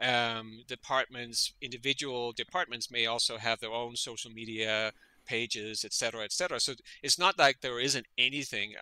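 A man speaks at a fairly slow pace in a medium pitch, his tone bright and sharp. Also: ordinary pitch variation. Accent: Danish. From Denmark. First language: Danish. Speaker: veterinary parasitologist. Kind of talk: interview conversation.

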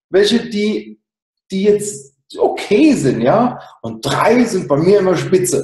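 The background is quiet, with audible room echo. A man talks at a high pitch. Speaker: sales and marketing consultant. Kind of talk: interview. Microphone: video call.

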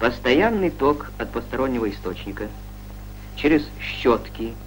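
A man talks at a very slow pace, with light noise in the background. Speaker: documentary narrator. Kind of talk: scripted narration of a 1960s Soviet educational film; educational documentary narration. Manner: formal, measured, authoritative newsreel-style delivery; even, didactic, steady pace with little emotion. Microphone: old recording.

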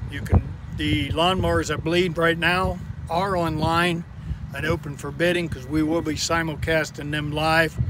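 A man with a fairly high pitch and fairly even intonation at a moderate pace, dry with no echo, over noticeable background noise. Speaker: auctioneer. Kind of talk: casual talk to camera, auction preview. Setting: outdoors, near lined-up equipment. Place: open country. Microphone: phone near.

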